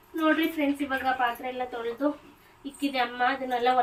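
A woman speaks in a high, monotone, flat voice. Noticeable background noise sits behind her. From Gangavathi, Karnataka. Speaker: vlogger. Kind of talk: casual vlog narration. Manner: talking to a child.

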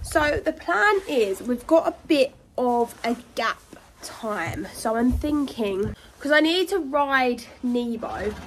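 A high-pitched woman at a very slow pace, lively in intonation, over light background noise. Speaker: horse rider vlogger. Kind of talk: casual vlog chat. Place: farm machine. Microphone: phone near.

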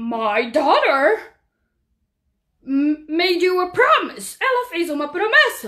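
In a put-on character voice, a woman speaks at an extremely high pitch with very wide pitch swings. Long pauses come often. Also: fairly slow pace. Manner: fussy, bossy then firm.

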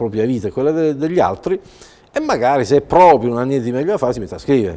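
Ordinary pitch variation in a man's speech. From Italy, Bari (Apulia); Italy. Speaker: writer and journalist; journalist. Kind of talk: TV interview. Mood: reflective, mildly ironic. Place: studio. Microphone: lapel.

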